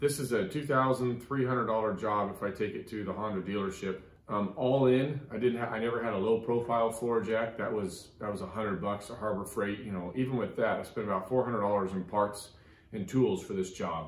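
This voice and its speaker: Audible room echo surrounds a man who speaks at a moderate pace with ordinary pitch variation. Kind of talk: tutorial. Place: garage. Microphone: phone near.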